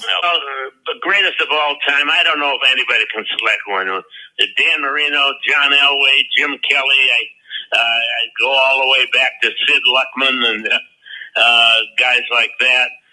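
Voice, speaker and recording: With noticeable background noise, a man speaks at a fairly slow pace with hardly any pauses. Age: 80s+. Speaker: retired football head coach. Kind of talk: interview answer.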